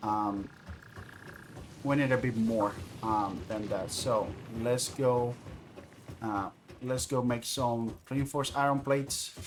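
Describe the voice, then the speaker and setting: A man at medium pitch with a non-native accent, at a fairly slow pace, over noticeable background noise. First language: not English. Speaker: video game streamer. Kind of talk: gameplay livestream commentary. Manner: halting, many fillers.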